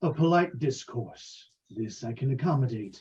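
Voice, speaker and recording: In a put-on character voice, the speaker talks at a moderate pace. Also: man, medium pitch for a man. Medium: actual play. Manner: polite, menacing, self-assured.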